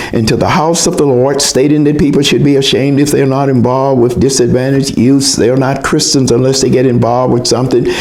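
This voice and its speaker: With noticeable background noise behind him, a man talks at a fairly quick pace with hardly any pauses, very even loudness and fairly even intonation. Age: 80s+. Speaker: mental health talk speaker. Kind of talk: personal commentary talk.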